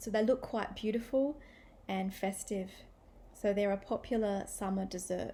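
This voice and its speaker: This woman has an Australian accent, a medium pitch, and a dark, mellow tone that is somewhat breathy. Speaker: English teacher. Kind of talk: language-learning listening practice talk. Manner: clear, measured. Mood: friendly, cheerful. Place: home room. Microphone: webcam.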